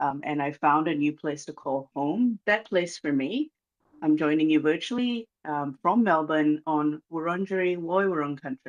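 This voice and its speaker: A Malaysian accent against a quiet background. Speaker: reconciliation organisation manager. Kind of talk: formal speech. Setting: video call. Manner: hesitant with many fillers.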